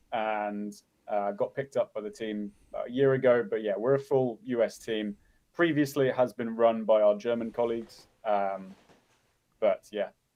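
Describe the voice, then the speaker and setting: A man with an English accent keeps a medium pitch and fairly even intonation at a moderate pace. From England. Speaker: conference organizer. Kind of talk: interview.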